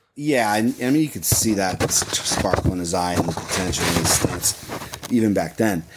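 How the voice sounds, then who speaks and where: Over noticeable background noise, a man with a fairly low pitch talks at a moderate pace with lively intonation. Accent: American. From US Midwest, Ohio (Muirfield area). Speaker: voiceover artist for golf commercials. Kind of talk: casual interview.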